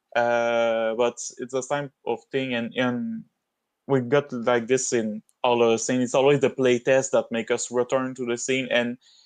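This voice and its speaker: A man speaks at a fairly slow pace with a non-native accent. His medium-pitched voice stays fairly even in intonation, with a dry, close sound and no echo. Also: quiet background. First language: not English. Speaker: game level designer. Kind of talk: casual chat. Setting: livestream.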